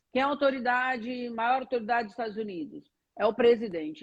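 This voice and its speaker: A woman with an ordinary speaking voice talks at a fairly quick pace and a fairly high pitch. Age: 60s. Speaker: spiritual teacher. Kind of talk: interview on a live stream. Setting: online live stream.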